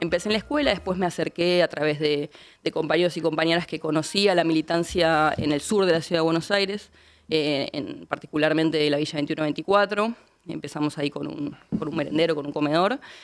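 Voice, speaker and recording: The recording is very clean, with a silent background. The speaker talks at a fairly quick pace. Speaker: politician. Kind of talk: interview.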